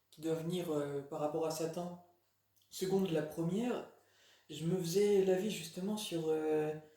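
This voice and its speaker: With audible room echo around him, a man speaks at a high pitch and a very slow pace. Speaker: religious video blogger. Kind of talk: casual monologue. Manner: halting, many fillers.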